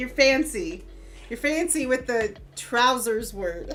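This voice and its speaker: Over noticeable background noise, a woman speaks very slowly in a high voice with lively intonation. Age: 30s. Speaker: streamer. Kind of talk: casual chat.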